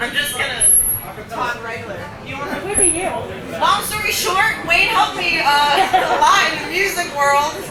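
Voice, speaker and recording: Over noticeable background noise and audible room echo, a woman uses a raised, projected voice at an extremely high pitch, her lively intonation broken by long, frequent pauses. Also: moderate pace. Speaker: singer. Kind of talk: memorial speech.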